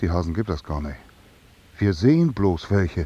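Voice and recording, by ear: This man puts on a character voice, low in pitch with a dark, mellow tone and a slightly husky edge. His pitch swings a lot, at a moderate pace.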